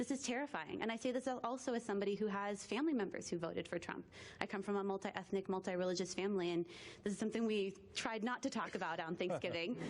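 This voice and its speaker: Speaking very fast in an American accent, a woman keeps her loudness very even and her pitch variation ordinary. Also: medium pitch for a woman. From Milwaukee, Wisconsin. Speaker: community organizer. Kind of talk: town hall discussion.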